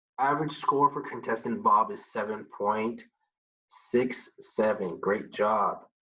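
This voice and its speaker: A man's medium-pitched voice, with ordinary pitch variation, moves at a fairly slow pace. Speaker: computer science student. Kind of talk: tutorial. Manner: halting.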